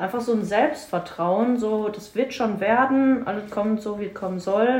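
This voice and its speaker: Over noticeable background noise and audible room echo, the speaker talks at a moderate pace with ordinary pitch variation. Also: woman. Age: 20s. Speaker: fitness coach. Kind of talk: casual chat.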